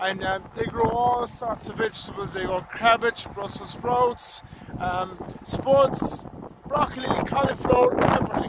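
Loud background noise accompanies a man who talks at a fairly slow pace with ordinary pitch variation. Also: dry sound with no echo. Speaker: farm vlogger. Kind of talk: casual vlog chat. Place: farm machine. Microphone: phone near.

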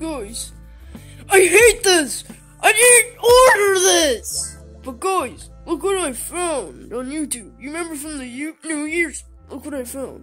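Faint music plays in the background as a cartoonish character voice speaks high and at a fairly slow pace. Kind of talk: comedy puppet skit. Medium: puppet. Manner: hesitant, stammering, childish.

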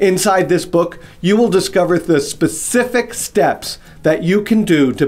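Faint music plays in the background as the speaker talks at a fairly slow pace. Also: man. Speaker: business coach. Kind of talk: promotional direct-to-camera talk. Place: office.

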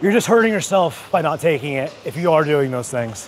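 A man talks fairly briskly while music plays behind him. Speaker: fitness creator. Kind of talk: casual vlog chat explaining supplements. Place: gym. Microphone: lapel.

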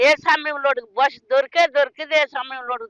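A woman's high-pitched voice is raised and projected, bright and sharp in tone, with a dry, close sound and no echo. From Srikakulam district, Andhra Pradesh. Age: 70s. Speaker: fish seller from fishing family. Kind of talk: interview answer.

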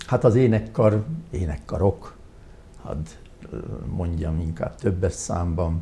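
A man speaks very slowly in a very deep, low voice with vocal fry and a dark, mellow tone. His loudness swings widely, with long, frequent pauses and light background noise. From Hungary, Tura; Hungary. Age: 70s. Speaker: retired hospital doctor; interview guest. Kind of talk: interview. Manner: halting. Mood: calm, reflective. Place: studio. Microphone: lapel.

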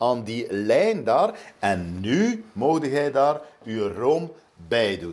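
A man speaks at a very slow pace with vocal fry. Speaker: TV chef coaching a home cook. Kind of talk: tutorial. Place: kitchen.

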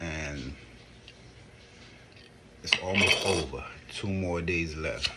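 Over light background noise, a man with a very deep, low pitch speaks at a very slow pace. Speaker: wellness vlogger. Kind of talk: casual vlog chat. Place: home room. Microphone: phone near.

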